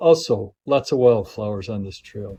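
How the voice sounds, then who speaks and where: A man speaks in a somewhat breathy voice with a dark, mellow tone. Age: 80s+. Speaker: hiker, war veteran. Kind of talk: casual hiking video narration. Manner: enthusiastic, informal.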